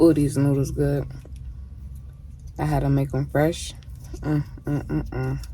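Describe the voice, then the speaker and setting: A woman speaks at a fairly slow pace, leaving long, frequent pauses. Audible room echo and noticeable background noise fill the recording. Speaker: mukbang vlogger. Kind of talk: casual eating vlog. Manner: soft-spoken.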